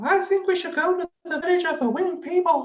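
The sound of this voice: A squeaky, put-on character voice at an extremely high pitch and a fairly quick pace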